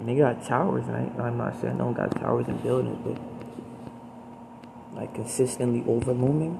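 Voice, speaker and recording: A man with an American accent at a fairly slow pace, amid noticeable background noise and audible room echo. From US, Baltimore. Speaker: solo vlogger. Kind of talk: personal monologue. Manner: halting.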